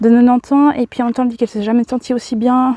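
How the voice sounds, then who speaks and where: Dry, close sound with no echo around a woman's dark, mellow tone. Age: 30s. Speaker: vlogger. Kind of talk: casual chat. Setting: outdoors. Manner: halting.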